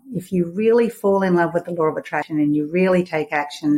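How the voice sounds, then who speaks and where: A woman with an Australian accent talks at a fairly quick pace in a fairly low pitch, with ordinary pitch variation. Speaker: money mindset coach and author. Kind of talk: interview. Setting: podcast interview.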